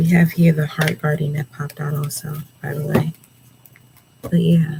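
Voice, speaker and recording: The speaker is soft-spoken, with a relaxed tone and a moderate pace. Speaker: tarot reader. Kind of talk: tarot reading.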